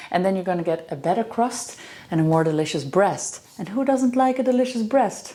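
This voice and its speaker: Over noticeable background noise, a woman with a Dutch accent speaks at a fairly quick pace, with medium pitch and lively intonation. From Netherlands. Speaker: professional chef and farmer. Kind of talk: cooking tutorial.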